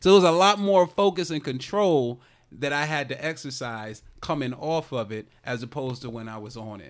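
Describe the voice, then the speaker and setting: A man's plain, everyday voice, fairly high in pitch, at a moderate pace with lively intonation and big swings in loudness, on a very clean recording with a silent background. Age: 30s. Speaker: comedian and teacher. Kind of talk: casual chat.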